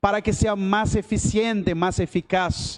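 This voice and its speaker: The man's pitch is high and his pace fairly slow. The sound is dry and close, with no echo. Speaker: preacher. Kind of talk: sermon. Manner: halting, switching between Spanish and Portuguese.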